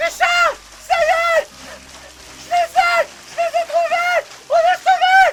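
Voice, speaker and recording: A put-on character voice at an extremely high pitch moves at a fairly slow pace with long, frequent pauses over light background noise. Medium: audio drama. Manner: nervous, anxious.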